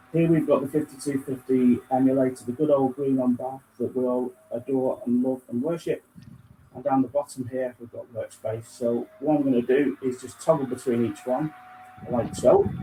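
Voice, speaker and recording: Against noticeable background noise, a man with a medium pitch speaks at a moderate pace in a flat monotone, with big swings in loudness. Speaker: software product demonstrator. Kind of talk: software demo over screen share. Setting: video call with screen sharing. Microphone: faulty microphone, too quiet.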